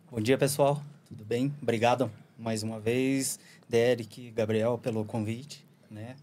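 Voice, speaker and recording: The voice has a dark, mellow tone and monotone, flat intonation at a fairly slow pace. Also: man. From Curitiba, Paraná, Brazil; Paraná, Brazil. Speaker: surfer, traveller guest; guest. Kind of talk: casual chat. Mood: relaxed storytelling. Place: studio. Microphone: studio mic.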